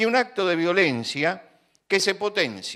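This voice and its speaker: The recording is very clean, with a silent background. A man speaks in a bright, sharp tone, his pitch swinging very widely. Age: 70s. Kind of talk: religious talk.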